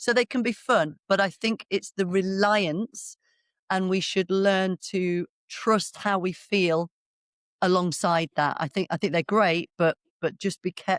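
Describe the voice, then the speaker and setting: In a very clean recording with a silent background, a woman speaks at a medium pitch and a fairly slow pace, her intonation fairly even. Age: 50s. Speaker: biomechanics educator for practitioners. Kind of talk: podcast interview. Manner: conversational with frequent hesitations.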